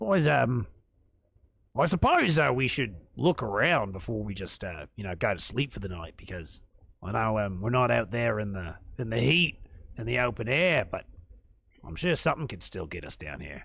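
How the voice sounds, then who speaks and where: A man puts on a raspy character voice in an Australian accent, at medium pitch and a moderate pace, with very wide pitch swings and big swings in loudness. He leaves long, frequent pauses. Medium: actual play. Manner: casual, rambling.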